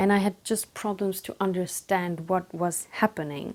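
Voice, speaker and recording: With a non-native accent, a woman talks at a medium pitch with fairly even intonation. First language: not English. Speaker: book vlogger. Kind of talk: casual book review monologue. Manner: hesitant, with fillers.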